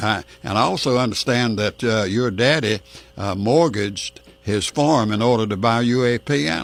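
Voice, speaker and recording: Noticeable background noise behind a medium-pitched male voice with ordinary pitch variation. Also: moderate pace. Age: 80s+. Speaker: radio host. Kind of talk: radio interview.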